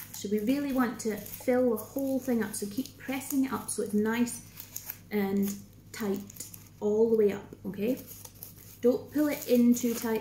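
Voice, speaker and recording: A woman talks at a moderate pace with fairly high pitch and fairly even intonation. She takes long, frequent pauses against noticeable background noise. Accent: Scottish. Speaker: craft workshop leader. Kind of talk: tutorial. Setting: recorded Facebook video.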